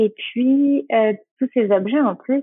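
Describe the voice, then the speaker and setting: The speaker is a woman. Her voice rises and falls in an ordinary way. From French Basque Country. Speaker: make-up artist and skincare brand founder. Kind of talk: casual interview. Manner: halting with frequent euh.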